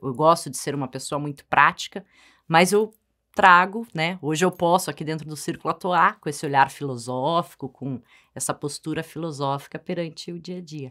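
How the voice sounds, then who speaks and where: A woman with a very deep, low pitch speaks at a moderate pace with ordinary pitch variation. Her loudness swings widely against a quiet background. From Brazil, Paraná and São Paulo. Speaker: co-host and strengths coach. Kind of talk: informative talk show chat. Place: studio.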